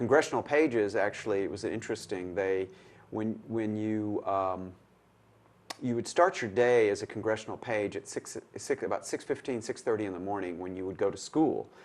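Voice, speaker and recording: A man with a Tennessee accent speaks at a moderate pace with a fairly low pitch and ordinary pitch variation. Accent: Southern US (Tennessee). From Middle Tennessee (Manchester). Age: 60s. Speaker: retired lawyer. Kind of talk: oral history interview. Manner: hesitant, with fillers.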